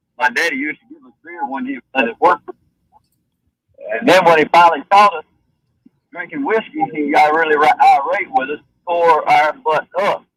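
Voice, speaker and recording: In a dry, close sound with no echo, a high-pitched man with a Southern US accent speaks with long, frequent pauses and big swings in loudness. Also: lively intonation, moderate pace. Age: 60s. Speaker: caller. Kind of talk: anecdote.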